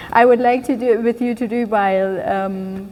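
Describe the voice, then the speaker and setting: A woman with a German accent speaks at a fairly high pitch with fairly even intonation over noticeable background noise. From Germany. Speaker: keynote speaker. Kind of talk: speech. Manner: halting.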